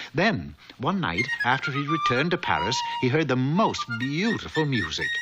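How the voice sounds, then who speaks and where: A man with a fairly high pitch talks with music in the background. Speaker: narrator. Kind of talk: children's cartoon narration.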